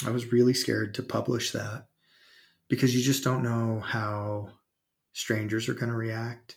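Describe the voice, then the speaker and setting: Somewhat breathy and calm, a man speaks at a fairly slow pace. His pitch is medium. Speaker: marketing executive. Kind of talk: casual interview.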